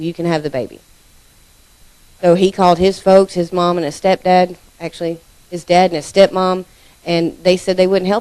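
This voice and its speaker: A woman speaks in a dark, mellow tone with fairly even intonation, big swings in loudness, and long, frequent pauses. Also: fairly low pitch for a woman, moderate pace. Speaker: church member giving testimony. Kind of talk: testimony. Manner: casual.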